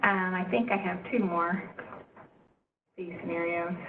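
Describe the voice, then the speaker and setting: Noticeable noise runs behind a woman who talks fairly quickly. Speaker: state agency staff presenting at stakeholder meeting. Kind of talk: presentation at public meeting.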